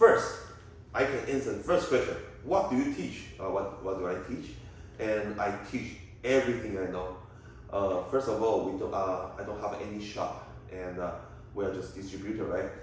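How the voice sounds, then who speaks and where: Fairly low pitch from a man, with ordinary pitch variation, a moderate pace broken by long, frequent pauses, noticeable background noise and audible room echo. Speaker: tea shop trainer and distributor. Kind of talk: Q&A vlog. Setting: Airbnb. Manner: halting.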